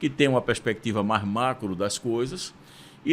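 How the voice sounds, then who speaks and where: A man speaks with a Pernambuco accent. His pace is moderate. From Brazil, Recife, Pernambuco. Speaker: university rector. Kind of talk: interview.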